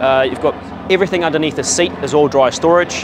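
A man talks at a very fast pace with fairly even intonation. The sound is dry with no echo, but background noise is noticeable. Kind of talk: interview answer. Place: market. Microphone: lapel.

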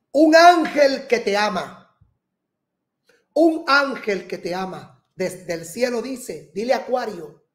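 Lively intonation from a man, quiet background behind. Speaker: astrologer host. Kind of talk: horoscope reading monologue. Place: studio.

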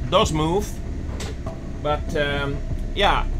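The man's delivery is very slow. Behind him, background noise is noticeable. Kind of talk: casual vlog chat. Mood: calm but concerned. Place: boat.

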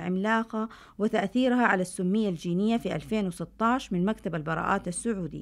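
A woman's medium-pitched, normal speaking voice with ordinary pitch variation at a moderate pace, on a very clean recording with a silent background. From Saudi Arabia, Medina (Hejaz). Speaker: scientist, university professor. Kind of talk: scripted narration. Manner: formal.

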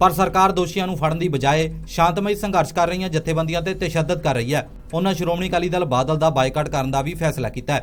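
The speaker is a man with a high pitch. His intonation stays fairly even. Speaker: news reporter. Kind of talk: news reading. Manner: formal.

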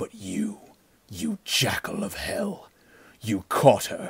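Using a put-on character voice, a man speaks very slowly in a resonant, fairly low-pitched, stern tone. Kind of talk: pulp adventure audiobook acting. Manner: cold, grim, stern; menacing.

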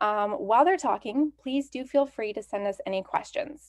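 A woman in a Canadian accent speaks at a moderate pace against a quiet background. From Canada. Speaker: library event host. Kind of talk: event introduction. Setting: livestreamed virtual event. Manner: enthusiastic. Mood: friendly, welcoming. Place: home room. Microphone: webcam.

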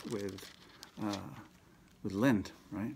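Over light background noise, a man talks at a fairly low pitch with ordinary pitch variation. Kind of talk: homily / spiritual reflection. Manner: conversational, with frequent filler words. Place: office. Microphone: phone near.

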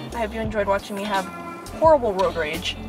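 A woman at a fairly quick pace, dry sound with no echo, music in the background. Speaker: vlogger driving. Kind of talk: casual vlog chat. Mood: playful, mock road rage. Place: car. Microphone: phone near.

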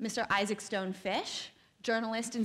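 The pace of this woman's speech is moderate. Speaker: panel moderator. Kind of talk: panel introduction. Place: hall. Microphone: podium.

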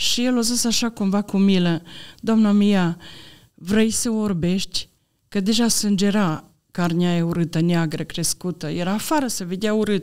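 Her delivery is fairly slow, and her pitch rises and falls in an ordinary way. Nothing much stirs behind her. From Romania, Maramureș; Romania. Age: 60s. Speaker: church member giving testimony; podcast guest. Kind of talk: personal testimony. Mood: earnest, calm faith testimony. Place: studio. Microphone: studio mic.

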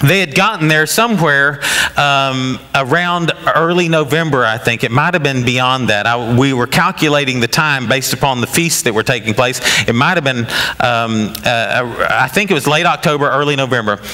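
Faint background noise sits behind a man whose medium-pitched voice has a bright, sharp tone and few pauses. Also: ordinary pitch variation, moderate pace.

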